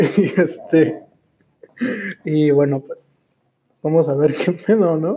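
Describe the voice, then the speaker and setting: Speaking very slowly with long, frequent pauses, a man with a Mexican accent uses a dark, mellow tone, a fairly high pitch and fairly even intonation. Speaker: podcast host and streamer. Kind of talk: casual chat. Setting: live stream.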